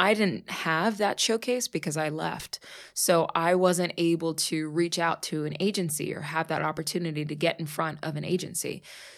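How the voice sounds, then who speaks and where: A woman with an American accent and a plain, everyday voice speaks at a moderate pace and a fairly low pitch. Her pitch varies in an ordinary way, and the recording is very clean with a silent background. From US, Pittsburgh. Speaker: actress. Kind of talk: casual chat. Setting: studio.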